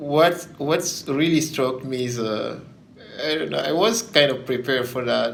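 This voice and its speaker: There is audible room echo and noticeable background noise as a man talks at a fairly slow pace and a fairly high pitch. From Guinea. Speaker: former exchange graduate student. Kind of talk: interview. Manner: halting, with fillers.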